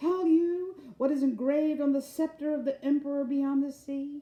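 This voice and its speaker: In a put-on character voice, a woman speaks at a moderate pace, shrill and high in pitch. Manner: indignant, accusing.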